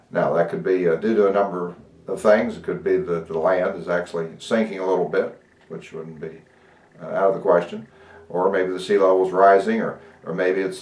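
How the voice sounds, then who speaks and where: Speaking at a moderate pace, a man's voice shows big swings in loudness. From Ohio, US Midwest. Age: 60s. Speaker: pastor. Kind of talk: interview. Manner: halting, many fillers.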